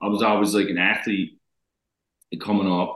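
A man talks in a Newfoundland accent. His voice sits fairly low. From Newfoundland, Canada. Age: 30s. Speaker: reality TV contestant. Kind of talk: casual interview. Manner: animated.

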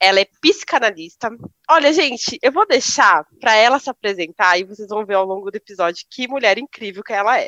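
A woman with a plain, everyday voice speaks at a fairly quick pace and a fairly high pitch, with lively intonation. Her loudness swings widely, and the sound is dry and close with no echo. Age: young. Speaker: podcast co-host. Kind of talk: casual chat.

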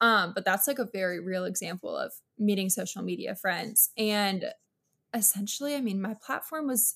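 A woman with an American accent speaks at medium pitch and a moderate pace, with ordinary pitch variation. It is an unremarkable speaking voice in a very clean recording with a silent background. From South Florida (West Palm Beach), early childhood North Carolina. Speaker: social media creator. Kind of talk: podcast interview.

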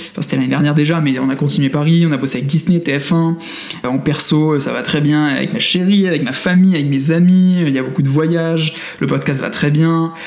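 A man with a fairly high pitch talks at a moderate pace with fairly even intonation. Room echo and noticeable background noise are both audible. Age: 20s. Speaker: tech entrepreneur. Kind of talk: interview. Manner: hesitant, many fillers.

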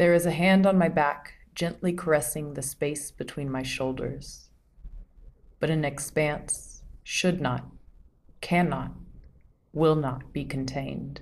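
A woman speaks at a fairly slow pace with long, frequent pauses. Her very deep, low voice has vocal fry and fairly even intonation. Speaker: poet and podcast host. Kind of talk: poetry reading, spoken word. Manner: slow, hushed, sensual, with repetition and rising intensity.

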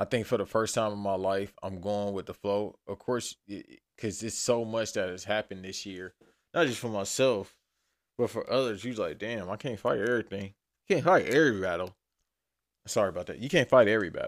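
The speech moves at a fairly quick pace with ordinary pitch variation. The recording is very clean, with a silent background. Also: man, fairly low pitch for a man. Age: 30s. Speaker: podcast host. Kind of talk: casual monologue. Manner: rambling, loose delivery.

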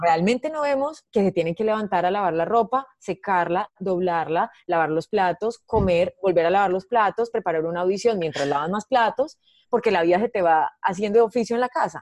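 In a normal speaking voice, a woman of medium pitch talks at a moderate pace with lively intonation and hardly any pauses, the sound dry and close with no echo. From Colombia, Medellín. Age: 30s. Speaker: comedian. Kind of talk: casual chat.

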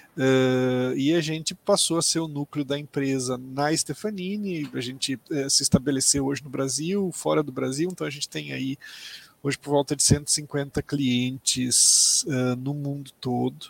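A plain, everyday voice moves at a fairly slow pace with fairly even intonation, in a dry, close sound with no echo. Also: man, fairly high pitch for a man. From Mato Grosso do Sul, Brazil. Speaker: tech company executive. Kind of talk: interview.

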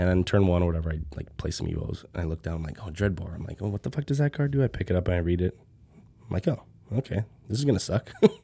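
A man's very deep, low voice, somewhat breathy and dark and mellow in tone, at a very fast pace. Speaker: podcast host. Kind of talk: casual chat. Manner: relaxed, many filler words.

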